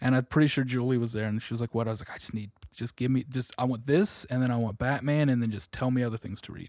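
A man at medium pitch, very fast with hardly any pauses, big swings in loudness and fairly even intonation, on a very clean, dry, close recording with no echo and a silent background. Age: 20s. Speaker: comic store employee. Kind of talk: casual interview.

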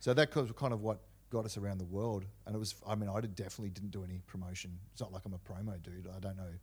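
A man's very fast, somewhat breathy speech at a fairly low pitch, with fairly even intonation, in a very clean recording with a silent background. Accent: Australian. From Australia, Canberra. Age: 40s. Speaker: hardcore punk musician. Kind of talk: casual chat.

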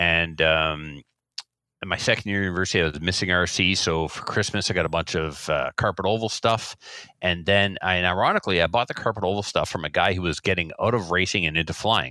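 A man talks at a very fast pace with a very deep, low pitch. His tone is bright and sharp, with ordinary pitch variation. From New Brunswick, Canada. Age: 40s. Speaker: school teacher and RC hobbyist. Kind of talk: casual interview chat.

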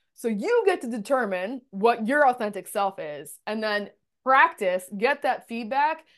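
Loud and animated, a woman with a fairly high pitch speaks at a fairly slow pace, her pitch swinging very widely over a quiet background. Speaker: communication consultant. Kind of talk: casual interview chat. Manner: loud, animated hand talker.

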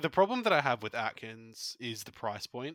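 A man with an Australian accent speaks in a bright, sharp tone at a moderate pace. The recording is very clean, with a silent background and a dry, close sound with no echo. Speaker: fantasy football podcast co-host. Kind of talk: casual chat.

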